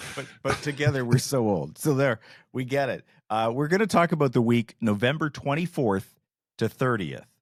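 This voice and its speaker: In an ordinary speaking voice, a man talks at a medium pitch and moderate pace with lively intonation, the sound dry and close with no echo. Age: 60s. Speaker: podcast host. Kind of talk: casual chat.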